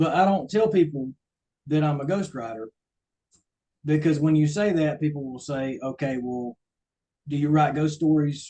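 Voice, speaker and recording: With a strong Southern US accent, a man talks in a fairly high voice with a dark, mellow tone, ordinary pitch variation, and long, frequent pauses. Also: moderate pace. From US South, coastal Georgia. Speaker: ghostwriter. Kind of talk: talk to a club. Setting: meeting with audience.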